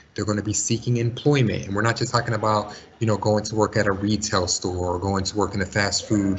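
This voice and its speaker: A man speaks very fast with hardly any pauses in a fairly low, somewhat breathy voice. His intonation stays fairly even. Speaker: school college and career counselor. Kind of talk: webinar presentation.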